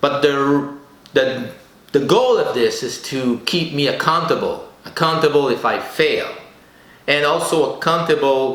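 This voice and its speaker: A man with a French accent speaks at a fairly slow pace. Audible room echo and noticeable background noise fill the recording. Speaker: podcast host. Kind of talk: solo podcast monologue. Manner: halting.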